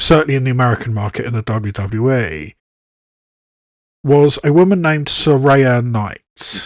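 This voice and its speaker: Long, frequent pauses break up a man's speech in a British accent. His intonation is lively. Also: medium pitch for a man, moderate pace. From southwest England, Bath. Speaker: YouTube reaction video creator. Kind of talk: casual commentary to camera. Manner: halting, with frequent restarts.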